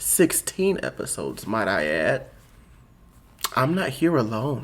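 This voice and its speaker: A man speaks fairly slowly. There is noticeable background noise in the recording. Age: 20s. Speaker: podcast co-host. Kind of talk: casual chat.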